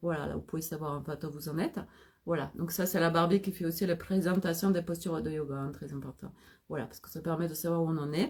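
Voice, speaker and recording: Somewhat breathy, the speech races at a very fast pace with fairly even intonation. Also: woman. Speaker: holistic coach. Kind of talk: live stream talk.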